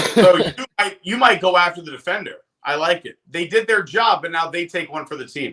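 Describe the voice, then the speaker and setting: A man talks at a fairly quick pace and a high pitch, with ordinary pitch variation. His tone is bright and sharp, with big swings in loudness. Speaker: live stream co-host. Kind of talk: casual chat. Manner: fast.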